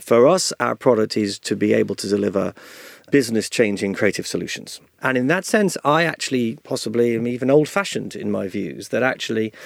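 Using an ordinary speaking voice, a man at medium pitch speaks at a fairly quick pace with lively intonation. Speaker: advertising executive and author. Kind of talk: interview conversation.

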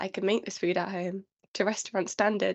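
Her voice, a woman's at medium pitch, stays in a monotone, flat intonation. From London. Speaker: trainee patent attorney. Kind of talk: casual chat.

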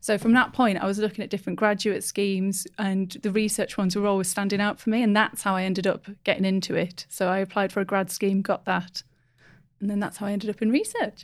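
A woman talks at a very fast pace in a flat monotone. Her pitch is medium, and the recording is very clean with a silent background. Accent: Teesside. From northeast England. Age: 20s. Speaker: market research professional. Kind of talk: casual podcast interview.

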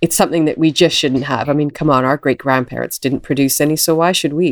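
A woman speaks at a very deep, low pitch in a dry, close sound with no echo. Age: 40s. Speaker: environmental entrepreneur. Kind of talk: interview.

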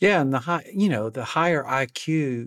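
With an Alabama accent and lively intonation, a man comes through in a very clean recording with a silent background. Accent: US Southern (Alabama). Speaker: leadership coach and company founder. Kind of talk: casual interview.

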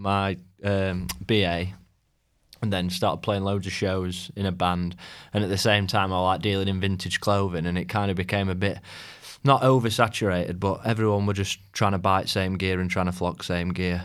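A man's very deep, low voice in a South Yorkshire accent, monotone and flat in intonation at a moderate pace, on a very clean recording with a silent background. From South Yorkshire, England (Rotherham). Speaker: clothing brand founder. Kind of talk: casual interview chat. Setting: studio.

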